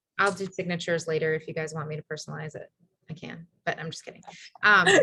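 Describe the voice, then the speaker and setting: The voice moves at a very fast pace with flat, monotone intonation, vocal fry, and big swings in loudness. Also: woman, very deep, low pitch for a woman. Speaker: team leader running a business training call. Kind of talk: online team training call with screen share. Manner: casual, filler-heavy.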